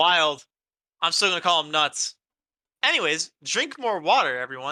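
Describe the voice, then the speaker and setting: A man speaks loudly at a moderate pace, with a high pitch, lively intonation and a bright, sharp tone. The recording is very clean with a silent background and a dry, close sound with no echo. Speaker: tabletop game design podcaster. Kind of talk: casual chat. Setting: live stream.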